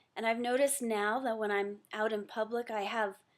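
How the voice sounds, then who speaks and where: With a plain, everyday voice, a woman speaks at a moderate pace. Her pitch is fairly high. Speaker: webinar attendee giving a testimonial. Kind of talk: testimony.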